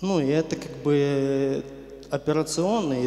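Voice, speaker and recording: The speaker goes at a very slow pace with ordinary pitch variation, and audible room echo surrounds the voice. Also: man. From western Ukraine. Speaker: church member giving testimony. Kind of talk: testimony / sermon-like talk. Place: church. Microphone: handheld.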